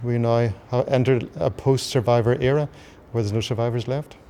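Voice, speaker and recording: Talking fairly quickly in a flat monotone, a man has a medium pitch and a Northern Irish accent. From Belfast, Northern Ireland. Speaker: artist and ordained minister. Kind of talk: interview answer.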